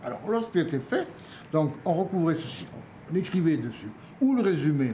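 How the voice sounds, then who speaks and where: The intonation is lively. A man delivers his words at a fairly quick pace. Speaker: epigraphist, historian of Mesopotamia; storyteller. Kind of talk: documentary interview, explaining museum objects. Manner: warm, enthusiastic.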